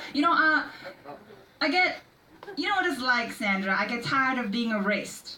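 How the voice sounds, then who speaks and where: Very wide pitch swings mark this voice at a moderate pace, with noticeable background noise behind it. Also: woman. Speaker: spoken word poet. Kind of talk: slam poetry performance.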